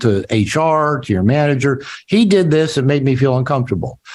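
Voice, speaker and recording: In an American accent, a man talks at a fairly quick pace with lively intonation and a fairly high pitch. It is an ordinary speaking voice. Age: 60s. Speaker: author and therapist. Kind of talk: interview.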